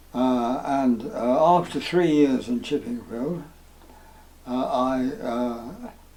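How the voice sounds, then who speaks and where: Very slow speech from a man of medium pitch, with ordinary pitch variation and noticeable background noise. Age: 80s+. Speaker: retired town planning officer. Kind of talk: interview answer. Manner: hesitant, slow.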